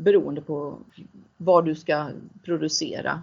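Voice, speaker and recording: Delivery is fairly slow. Intonation stays fairly even throughout. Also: woman. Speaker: CEO of a transition fund. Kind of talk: interview.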